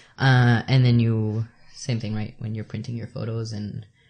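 Against a quiet background, a man with a medium-pitched, somewhat breathy voice talks fairly slowly in a monotone, flat delivery. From El Salvador. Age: 30s. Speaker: photographer and artist. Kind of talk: interview conversation. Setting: at the host's home.

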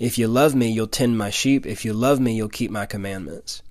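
An ordinary speaking voice with an American accent moves at a moderate pace. Its pitch variation is ordinary. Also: man. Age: 20s. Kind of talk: devotional talk with personal testimony.

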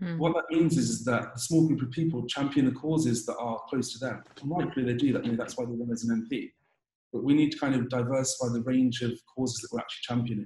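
A man at a very fast pace, medium in pitch, with a dark, mellow, somewhat breathy tone and fairly even intonation. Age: 20s. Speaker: dentist. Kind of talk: interview.

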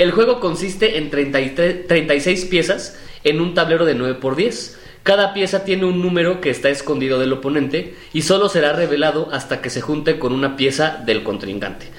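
A man's fairly high voice with a Mexican accent, moderate pace and ordinary pitch variation, over noticeable background noise. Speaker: podcast co-host. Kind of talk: casual chat.

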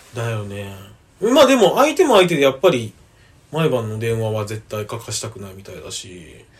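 Loudness swings widely as a man speaks at a moderate pace. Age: 20s. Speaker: university student, podcaster. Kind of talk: casual chat.

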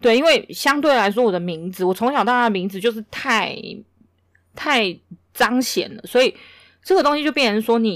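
A woman's fairly high voice with lively intonation, big swings in loudness, a moderate pace and long, frequent pauses, on a very clean recording with a silent background. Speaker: podcast co-host. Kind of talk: casual chat.

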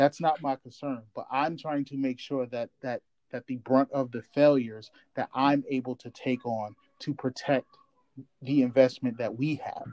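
At a moderate pace, an ordinary speaking voice delivers fairly even intonation in a dry, close sound with no echo. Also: man, medium pitch for a man. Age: 30s. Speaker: podcast co-host. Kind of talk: casual chat.

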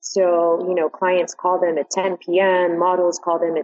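A woman with an American accent, medium pitch and fairly slow pace, over noticeable background noise. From New York. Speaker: modeling agency manager. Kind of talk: interview.

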